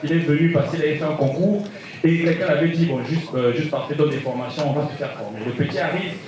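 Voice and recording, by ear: Room echo can be heard as a man speaks quickly. His pitch is fairly high, with ordinary variation.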